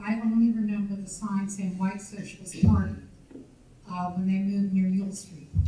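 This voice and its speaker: Speaking at medium pitch in a monotone, flat intonation, a woman is heard with audible room echo. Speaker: audience member, former police records supervisor. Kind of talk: audience Q&A remarks at a history talk. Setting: audience at a public lecture. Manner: halting.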